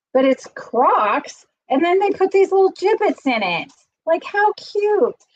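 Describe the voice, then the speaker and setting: At a fairly slow pace, a woman with an extremely high pitch talks in an animated tone with very wide pitch swings, recorded dry and close with no echo. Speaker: YouTuber. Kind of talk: casual chat. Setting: livestream.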